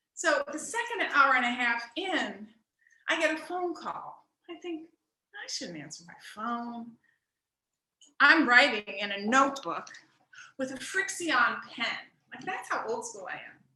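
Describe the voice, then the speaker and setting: Raised and projected, this woman's high, bright, sharp voice swings very widely in pitch and greatly in loudness, moving at a fairly slow pace with long, frequent pauses. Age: 60s. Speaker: stand-up comedy student. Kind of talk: stand-up. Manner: animated.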